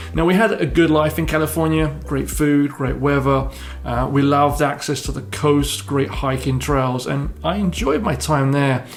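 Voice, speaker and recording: In a room with audible echo and noticeable background noise, a man with an English accent speaks at a moderate pace with hardly any pauses. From southern England. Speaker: real estate broker. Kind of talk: personal story video.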